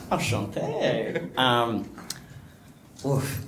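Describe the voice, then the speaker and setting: A man speaks in a room with audible echo. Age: 20s. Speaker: panellist. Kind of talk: panel discussion.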